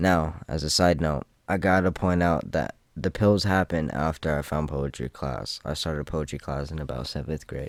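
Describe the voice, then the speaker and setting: Recorded very cleanly against a silent background, a man talks at a moderate pace in a very deep, low pitch with vocal fry and ordinary pitch variation. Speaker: gaming youtuber and rapper. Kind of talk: scripted narration.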